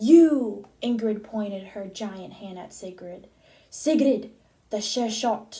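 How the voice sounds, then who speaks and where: In a put-on character voice, a woman speaks at a fairly high pitch and a fairly slow pace. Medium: read story. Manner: commanding.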